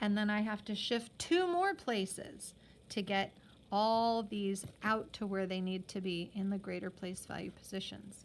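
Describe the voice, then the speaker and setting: A woman at a fairly slow pace and medium pitch, ordinary pitch variation, a plain, everyday voice. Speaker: math teacher. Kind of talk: tutorial.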